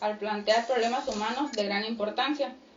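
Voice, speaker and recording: Against noticeable background noise, a fairly high-pitched woman talks moderately fast with fairly even intonation. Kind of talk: radio talk show.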